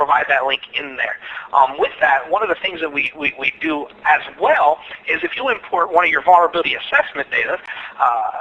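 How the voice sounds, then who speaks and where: Over noticeable background noise, a man speaks very fast at a high pitch with ordinary pitch variation. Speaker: security engineer presenting at webinar. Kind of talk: webinar presentation and Q&A. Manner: halting, many fillers and repetitions.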